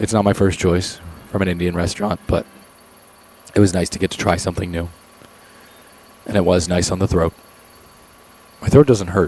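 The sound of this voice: A man does a put-on character voice, raspy, hoarse and very deep, with fairly even intonation. He moves at a fairly quick pace but leaves long, frequent pauses.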